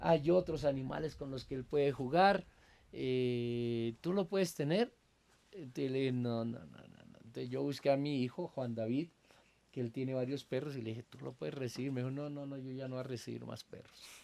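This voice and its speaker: A man's medium-pitched voice with a dark, mellow tone, ordinary pitch variation, a moderate pace and big swings in loudness. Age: 60s. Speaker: pastor and Bible teacher. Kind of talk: casual interview conversation. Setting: at his country house.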